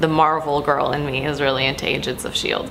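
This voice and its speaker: Here a woman with an American accent talks at a fairly quick pace. Audible room echo surrounds her voice. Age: 20s. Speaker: YouTuber. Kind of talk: casual Q&A vlog. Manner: casual, with fillers.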